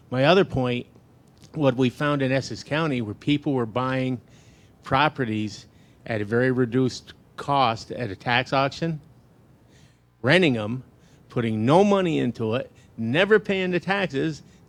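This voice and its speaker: With lively intonation and long, frequent pauses, a man talks at a moderate pace and a medium pitch. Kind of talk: panel discussion. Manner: loud.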